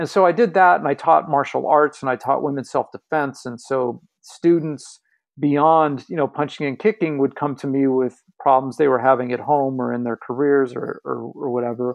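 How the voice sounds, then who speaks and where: A man at a fairly high pitch with ordinary pitch variation and a moderate pace, an ordinary speaking voice. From Los Angeles, West Hollywood. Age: 40s. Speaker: empowerment coach. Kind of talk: interview.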